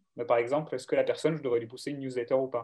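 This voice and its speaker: A fairly high male voice with ordinary pitch variation. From southern France, Aubagne near Marseille. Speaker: data science manager. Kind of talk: interview.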